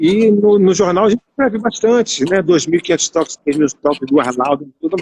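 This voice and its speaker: This man speaks at a high pitch and fairly quick pace with lively intonation. The sound is dry and close, with no echo. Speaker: radio broadcaster and journalist. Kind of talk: live online interview. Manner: fast.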